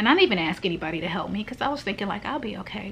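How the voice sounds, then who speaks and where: A woman talks very fast against light background noise. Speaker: vlogger. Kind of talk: casual vlog chat. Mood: anxious, overwhelmed, emotional. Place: home room. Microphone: phone near.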